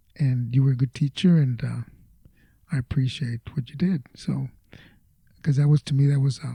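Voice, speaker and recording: A man with an American accent speaks at medium pitch and a moderate pace, somewhat breathy and dark, mellow in tone, with fairly even intonation and long, frequent pauses, recorded dry and close with no echo. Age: 70s. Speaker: retired teacher and Vietnam veteran. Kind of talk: interview answer.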